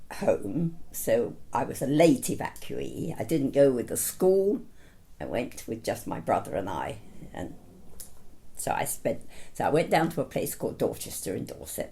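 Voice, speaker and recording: With a southern English accent, a woman speaks at a moderate pace with big swings in loudness. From south London. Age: 90s. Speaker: retiree interviewee. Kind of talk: life story interview.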